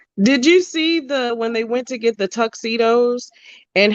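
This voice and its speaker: The speaker has a Baltimore accent and keeps a moderate pace. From Baltimore, US. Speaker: podcast co-host. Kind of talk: casual chat.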